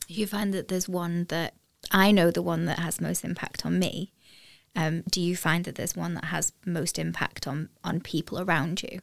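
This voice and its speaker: The voice has vocal fry. Its intonation stays fairly even. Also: woman. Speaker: podcast host.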